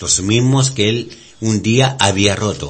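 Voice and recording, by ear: Fairly low in pitch, a man speaks fairly slowly with ordinary pitch variation.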